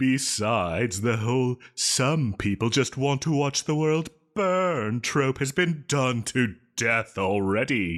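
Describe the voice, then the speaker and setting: A man's put-on character voice, medium in pitch, with lively intonation, very even loudness and a fairly slow pace. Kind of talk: audio roleplay. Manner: dramatic, theatrical.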